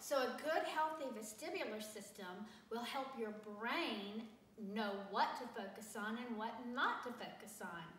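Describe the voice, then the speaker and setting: Speaking at a fairly slow pace in a Southern US accent, a woman uses a fairly high pitch and lively intonation, with audible room echo and noticeable background noise. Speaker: teacher. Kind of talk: tutorial. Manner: casual, conversational.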